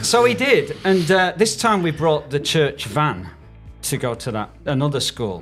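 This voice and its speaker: At a fairly slow pace, a man with a fairly high pitch makes very wide pitch swings while music plays in the background. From United Kingdom. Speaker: church worker. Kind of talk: humorous anecdote in podcast conversation.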